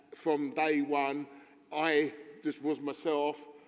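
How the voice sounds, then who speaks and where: A man is speaking. His pitch is fairly high. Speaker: union delegate. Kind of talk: conference floor question. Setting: conference hall. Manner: halting, repeated words.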